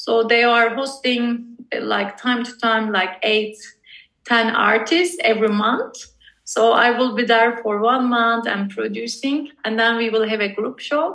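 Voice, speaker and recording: A woman with a Turkish accent, fairly high pitch, ordinary pitch variation and a fairly slow pace. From Turkey, Istanbul. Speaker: visual artist. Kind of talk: casual interview.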